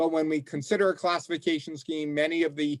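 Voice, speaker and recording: Pitched fairly high, a man talks rather quickly in a plain, everyday voice. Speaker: law professor. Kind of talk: presentation to legislative task force.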